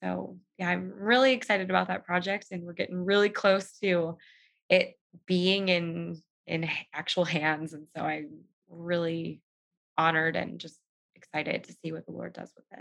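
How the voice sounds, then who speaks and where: Over a quiet background, a woman with a Californian accent speaks at a moderate pace, her loudness swinging widely. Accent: Californian American. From Southern California. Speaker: writer and podcaster. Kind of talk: faith testimony in interview.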